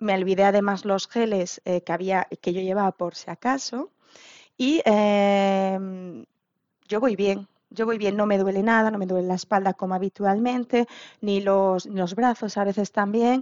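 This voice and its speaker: At a fairly slow pace, a woman talks in an unremarkable speaking voice of medium pitch with fairly even intonation. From Asturias, Spain. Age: 40s. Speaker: marathon runner and dietitian's patient. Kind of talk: interview.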